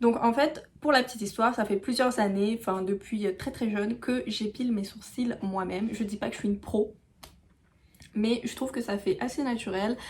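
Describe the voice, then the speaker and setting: A somewhat breathy woman's voice at fairly high pitch, moderate pace and ordinary pitch variation. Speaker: beauty YouTuber. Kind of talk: tutorial. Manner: hesitant, many fillers.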